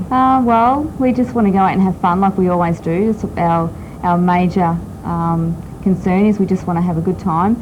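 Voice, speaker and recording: Over noticeable background noise, a woman with an Australian accent speaks at a moderate pace and medium pitch, with ordinary pitch variation and very even loudness. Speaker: top fuel drag racer. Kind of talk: TV interview. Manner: hesitant, many ums.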